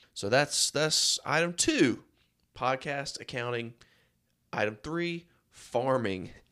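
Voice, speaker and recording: A man speaks very slowly at a medium pitch with a bright, sharp tone and ordinary pitch variation, leaving long, frequent pauses in a very clean recording with a silent background. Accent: eastern North Carolina. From North Carolina (Rocky Mount). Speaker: podcast host and accountant. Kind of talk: casual monologue.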